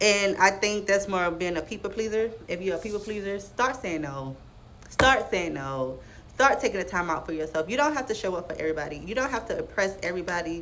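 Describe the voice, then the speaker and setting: A woman's animated voice at medium pitch, with lively intonation, a fairly quick pace and audible room echo. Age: 20s. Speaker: vlogger giving life advice. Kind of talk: casual monologue to camera. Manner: fast.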